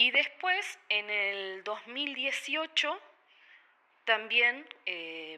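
A woman speaks in a Uruguayan accent. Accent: Rioplatense Spanish (Uruguayan). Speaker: photographer and bank worker. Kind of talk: radio interview. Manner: halting, many fillers and repetitions.

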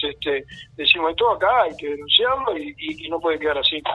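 This man's voice sits high in pitch, with lively intonation. He talks at a fairly quick pace. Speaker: community activist. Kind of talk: radio interview. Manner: halting, many fillers and repetitions.

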